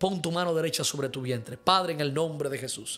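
A man's fairly high voice, at a moderate pace with ordinary pitch variation. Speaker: pastor and prophet; pastor. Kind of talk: live-streamed sermon with prayer and viewer questions. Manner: fervent. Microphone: studio mic.

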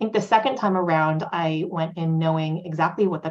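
With an American accent, a woman speaks at a fairly low pitch. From California, Silicon Valley. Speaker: tech startup founder. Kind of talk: panel discussion. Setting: video call. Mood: calm, thoughtful. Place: home room. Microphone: video call.

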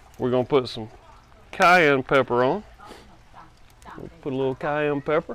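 The recording of a man's voice is dry with no echo. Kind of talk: tutorial. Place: garden. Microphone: phone near.

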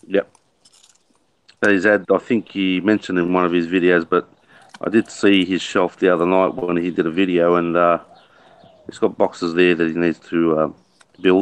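In an Australian accent, a man with a very deep, low pitch speaks in a monotone, flat intonation at a moderate pace, with long, frequent pauses. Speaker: RC hobbyist co-host. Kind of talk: casual livestream chat. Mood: relaxed, joking. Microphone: video call.

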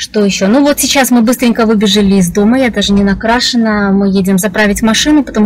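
Over light background noise, a woman talks at a very fast pace with ordinary pitch variation. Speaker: vlogger. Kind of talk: casual vlog chat. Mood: cheerful, chatty. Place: car. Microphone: phone near.

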